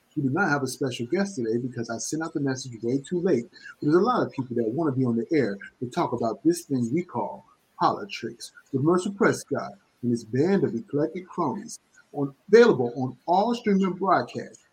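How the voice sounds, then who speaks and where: With an American accent, a man speaks at a fairly quick pace in a fairly high pitch. His somewhat breathy voice makes very wide pitch swings. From New London, Connecticut. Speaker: podcast host. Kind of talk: show intro and casual chat.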